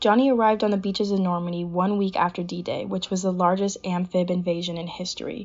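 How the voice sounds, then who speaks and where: In an American accent, a woman speaks in a normal speaking voice at a medium pitch. Her intonation is fairly even, and her pace is fairly quick. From Southern California, Pasadena. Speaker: naval academy student. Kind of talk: prepared narration of family history.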